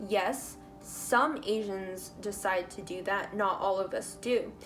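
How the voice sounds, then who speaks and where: A woman talks in an American accent while music plays behind her. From United States. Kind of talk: reading own written notes aloud. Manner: talkative, with stutters.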